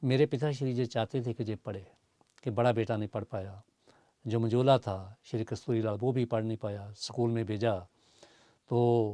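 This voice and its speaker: Against a quiet background with a dry sound and no echo, a man speaks fairly slowly in a dark, mellow tone and fairly even intonation, with long, frequent pauses. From Punjab, India (Pathankot); Punjab, India. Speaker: poet and lyricist; poet. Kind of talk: interview. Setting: studio. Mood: warm, reflective. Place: studio. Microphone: lapel.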